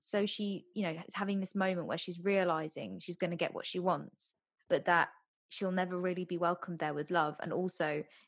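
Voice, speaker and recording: An unremarkable speaking voice belongs to a woman talking at a fairly quick pace. Her pitch is medium, with ordinary variation. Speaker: podcast co-host. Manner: casual, chatty.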